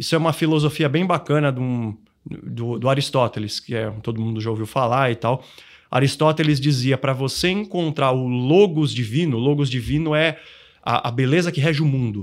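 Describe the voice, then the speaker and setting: A man has a plain, everyday voice at a medium pitch, with ordinary pitch variation. He talks at a moderate pace on a very clean recording with a silent background. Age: 40s. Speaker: financial planning educator. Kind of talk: podcast interview.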